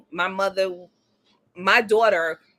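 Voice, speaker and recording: Over music in the background, a woman talks at a medium pitch with ordinary variation in her pitch. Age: 40s. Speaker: podcast panelist. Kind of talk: casual chat.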